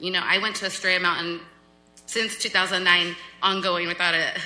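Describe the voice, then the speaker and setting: A woman's medium-pitched voice moves at a fairly quick pace through noticeable background noise. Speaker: city council member. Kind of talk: public meeting remarks. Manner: loud; animated.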